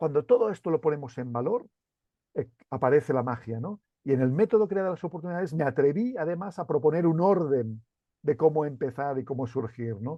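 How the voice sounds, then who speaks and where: A man with a Catalan accent, fairly high-pitched, fairly quick and with lively intonation. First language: Catalan (speaking Spanish). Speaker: CEO and author. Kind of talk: interview. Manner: halting, many repeated words.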